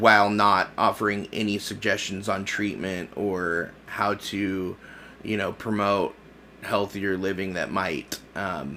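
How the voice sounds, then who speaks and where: Speaking very slowly in an American accent, a man uses a fairly low, monotone, flat delivery with a bright, sharp tone. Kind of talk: casual political commentary to camera. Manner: hesitant, many filler words.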